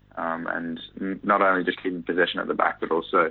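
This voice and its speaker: Fairly quick and monotone, a man talks with a New Zealand accent. His pitch is very deep and low, with flat intonation. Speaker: professional footballer. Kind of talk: interview.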